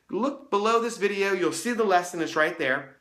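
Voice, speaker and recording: Audible room echo surrounds the speaker. A man talks at a fairly quick pace. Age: 30s. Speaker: youth ministry resource creator. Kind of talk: casual talk to camera. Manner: casual, conversational; occasional stumbles.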